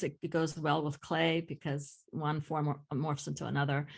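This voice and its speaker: A woman with a very deep, low pitch and vocal fry, at a moderate pace. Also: quiet background. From Greece, small village. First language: Greek. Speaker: ceramic artist and art teacher. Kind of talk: casual conversation. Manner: halting, many fillers.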